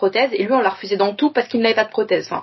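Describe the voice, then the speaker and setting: Speech comes at a very fast pace. Pitch variation is ordinary. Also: woman. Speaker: podcast guest. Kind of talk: casual chat.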